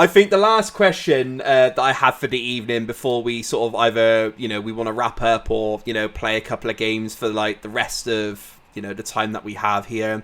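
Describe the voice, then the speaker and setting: Speaking in a southern English accent, a man keeps a fairly quick pace. His intonation stays fairly even. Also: medium pitch for a man, hardly any pauses. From southern England. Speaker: podcast host. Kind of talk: casual chat.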